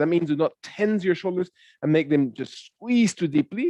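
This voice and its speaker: A man talks loudly at a high pitch. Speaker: yoga instructor. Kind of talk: guided yoga class. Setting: online class via computer.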